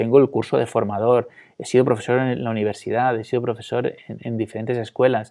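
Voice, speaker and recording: A man's medium-pitched, dark, mellow voice in monotone, flat intonation over a quiet background. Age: 40s. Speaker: interview guest. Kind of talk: testimony. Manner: halting.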